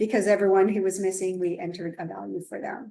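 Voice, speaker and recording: A woman talks at a fairly quick pace, her pitch medium and her tone dark and mellow. Her intonation is flat and monotone. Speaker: statistics instructor. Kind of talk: tutorial.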